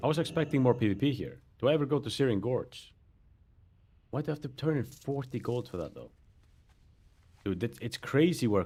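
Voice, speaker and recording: On a very clean recording with a silent background, a man with a non-native accent talks at a fairly quick pace with lively intonation. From Europe. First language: not English. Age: 30s. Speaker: gaming streamer. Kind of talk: casual chat.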